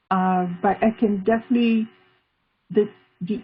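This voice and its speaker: Speaking at a moderate pace with a non-native accent, a woman has a medium pitch, a somewhat breathy voice and fairly even intonation. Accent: foreign. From Israel, Tel Aviv. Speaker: art therapist and artist. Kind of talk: interview.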